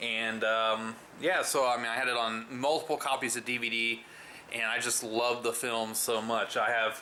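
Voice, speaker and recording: A man speaks loudly at a moderate pace. His tone is bright and sharp, and his intonation is monotone and flat. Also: medium pitch for a man. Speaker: movie reviewer. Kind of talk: casual vlog review. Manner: hesitant, many fillers.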